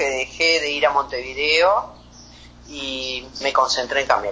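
A woman's very deep, low pitch at a fairly slow pace, with ordinary pitch variation. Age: 50s. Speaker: anesthesiologist. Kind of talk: interview.

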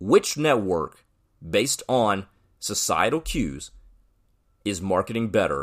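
A man's bright, sharp voice with very wide pitch swings at a fairly slow pace, on a very clean recording with a silent background. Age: 20s. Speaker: sports podcast host. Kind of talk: solo commentary podcast.

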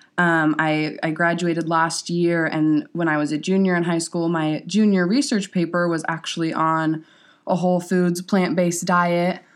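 A normal speaking voice holds very even loudness and fairly even intonation at a moderate pace. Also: woman, fairly low pitch for a woman, very clean recording, silent background. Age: young. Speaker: new vegan, recent high school graduate. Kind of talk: casual chat.

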